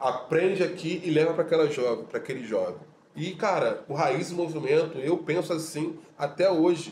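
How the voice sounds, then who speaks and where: Amid noticeable background noise, a man with a high voice speaks at a moderate pace and with fairly even intonation. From Rio de Janeiro, Complexo do Alemão. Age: 40s. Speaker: audiovisual teacher and social activist. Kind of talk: casual interview chat.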